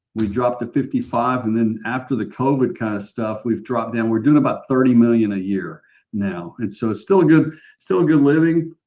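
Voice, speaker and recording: A man with medium pitch talks at a fairly quick pace in a plain, everyday voice. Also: ordinary pitch variation. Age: 60s. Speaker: mortgage branch manager. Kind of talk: casual chat.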